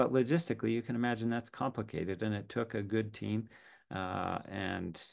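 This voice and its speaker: The background stays quiet. A man speaks over it at a fairly quick pace. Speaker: professor. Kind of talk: lecture. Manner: halting.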